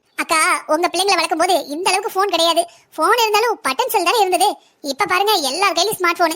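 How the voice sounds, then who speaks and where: A woman uses a cartoonish character voice at an extremely high pitch. She goes at a fairly quick pace with very even loudness. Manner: fast, chatty.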